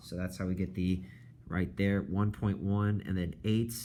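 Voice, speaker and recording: Amid audible room echo, a man with a very deep, low pitch and a dark, mellow tone speaks at a moderate pace. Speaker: high school math teacher. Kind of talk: lecture. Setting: recorded video lesson.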